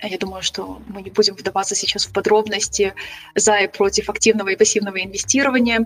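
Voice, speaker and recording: Noticeable background noise sits behind a woman of medium pitch who talks at a fairly quick pace with monotone, flat intonation and big swings in loudness. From Ukraine, Kyiv. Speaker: travel and investing blogger. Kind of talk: casual interview.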